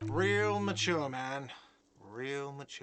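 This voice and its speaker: A whiny put-on character voice from a man at medium pitch, with faint music in the background. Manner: shouting.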